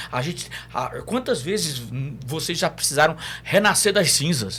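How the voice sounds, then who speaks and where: Vocal fry runs through the man's speech. He keeps a moderate pace while his pitch swings very widely. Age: 60s. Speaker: psychologist. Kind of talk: podcast interview.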